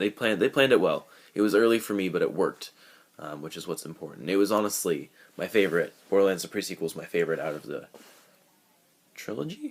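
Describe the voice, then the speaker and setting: A man at a very fast pace, with long, frequent pauses and big swings in loudness. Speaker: gaming vlogger. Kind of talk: casual talk to camera. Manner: halting, many filler ums.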